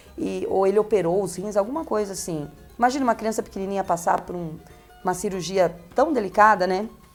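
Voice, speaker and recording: Music plays behind a woman talking at a very fast pace with medium pitch and ordinary pitch variation. Her loudness swings widely. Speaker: radio host. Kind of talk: interview answer. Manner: chatty, conversational.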